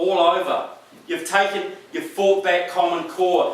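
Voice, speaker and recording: Audible room echo and noticeable background noise surround the voice. A man with a New Zealand accent speaks at a high pitch. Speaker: political speaker. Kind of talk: speech to a rally audience. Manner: animated.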